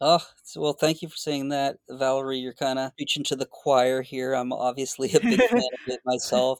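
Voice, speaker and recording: A man with an American accent and an unremarkable speaking voice, medium in pitch with ordinary variation, at a moderate pace with hardly any pauses, in a dry, close sound with no echo. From Boston. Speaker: clinical psychologist. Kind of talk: interview conversation.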